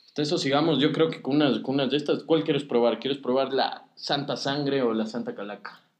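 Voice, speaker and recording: With a plain, everyday voice, a man talks at a fairly quick pace and fairly high pitch, with ordinary pitch variation and hardly any pauses. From Ecuador. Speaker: podcast host. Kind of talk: casual chat.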